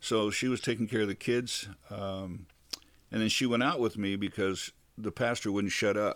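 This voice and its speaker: A man with an American accent and an unremarkable speaking voice speaks at a fairly low pitch and a moderate pace, with fairly even intonation. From California, Bakersfield. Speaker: retired church singer, host's father. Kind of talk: interview. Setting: studio.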